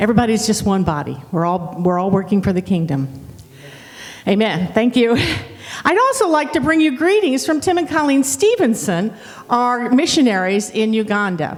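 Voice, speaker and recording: Speaking at a fairly high pitch with a slight Southern accent, a woman swings her pitch very widely while keeping her loudness very even, amid noticeable background noise and audible room echo. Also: moderate pace. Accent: slight southern twang. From Ohio, Dayton. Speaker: pastor. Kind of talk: sermon.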